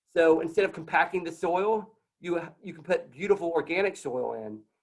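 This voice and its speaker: The speaker is a man with a high pitch. His pitch varies in an ordinary way. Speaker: tree nonprofit program director. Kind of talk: conference talk. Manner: fast.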